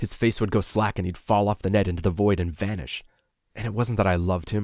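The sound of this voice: The voice is an unforced reading voice with fairly even intonation. The background is quiet.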